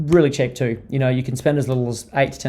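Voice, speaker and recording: A man speaks fairly quickly with an Australian accent in a dark, mellow tone. His pitch is medium and his intonation fairly even. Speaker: digital marketing strategist. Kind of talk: webinar presentation. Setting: online webinar. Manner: fast.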